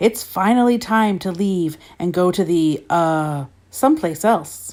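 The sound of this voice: A woman puts on a booming character voice at a medium pitch, speaking fairly slowly. The recording is very clean, with a silent background.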